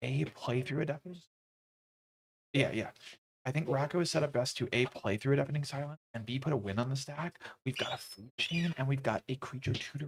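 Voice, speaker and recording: Soft-spoken and somewhat breathy, a man talks at a fairly quick pace with a fairly high pitch and ordinary pitch variation, in a dry, close sound with no echo. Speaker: tournament commentator. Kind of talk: live commentary. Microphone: mic moved closer after audio problem.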